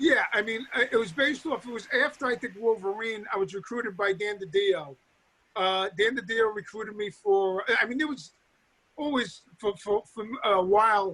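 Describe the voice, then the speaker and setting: In a New York accent, a man with a high pitch and a bright, sharp tone uses a raised, projected voice at a moderate pace with ordinary pitch variation. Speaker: comic book writer. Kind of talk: interview. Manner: halting, many fillers and restarts.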